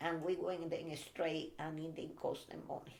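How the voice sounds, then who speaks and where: A woman speaks with a Spanish accent at a moderate pace. Room echo is audible. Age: 80s. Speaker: Cuban immigrant interviewee. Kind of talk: family interview. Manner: halting, hesitant English.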